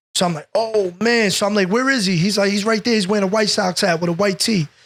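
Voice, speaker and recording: A man with an American accent, high-pitched and very fast, on a very clean recording with a silent background. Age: 30s. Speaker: police officer. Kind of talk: casual chat. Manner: animated.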